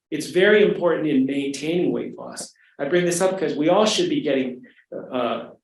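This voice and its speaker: A fairly quick-paced man's voice with audible room echo. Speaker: physician lecturer. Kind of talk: lecture. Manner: fast.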